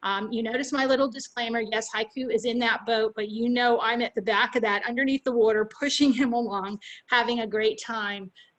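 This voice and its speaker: Fairly high in pitch, a woman speaks with fairly even intonation. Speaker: pet safety instructor. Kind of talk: webinar presentation and Q&A. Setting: video call webinar. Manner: fast.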